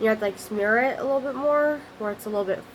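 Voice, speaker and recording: Through noticeable background noise, a woman speaks at a fairly high pitch with ordinary pitch variation. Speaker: craft video maker. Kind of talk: tutorial. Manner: fast; halting, self-correcting.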